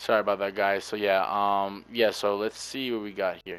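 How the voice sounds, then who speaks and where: This man has a fairly low voice. He talks at a moderate pace. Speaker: gaming video creator. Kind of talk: gameplay commentary. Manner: subdued, low energy.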